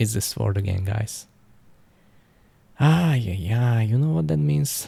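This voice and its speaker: A man with a non-native accent, a fairly low pitch, very wide pitch swings, and a fairly slow pace, in audible room echo. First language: not English. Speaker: gaming YouTuber. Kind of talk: gameplay commentary. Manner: halting, with restarts.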